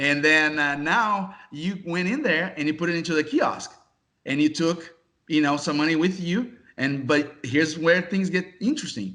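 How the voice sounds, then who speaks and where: A man talks with a Brazilian accent and ordinary pitch variation. His tone is bright and sharp. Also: moderate pace. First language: Portuguese. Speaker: casino software executive. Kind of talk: interview.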